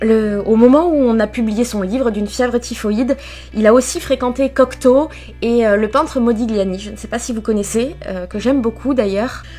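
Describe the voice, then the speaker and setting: A woman with a fairly high pitch and ordinary pitch variation, music in the background. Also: moderate pace. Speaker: book vlogger. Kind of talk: live reading vlog commentary. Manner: casual, hesitant with fillers.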